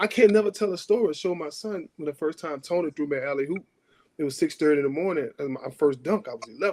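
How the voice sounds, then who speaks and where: In a strong New Orleans accent, the voice is animated, with lively intonation and a very fast pace. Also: man, fairly high pitch for a man. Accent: New Orleans accent, still heavy. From New Orleans, uptown. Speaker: former pro basketball player, podcast guest-host. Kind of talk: casual chat.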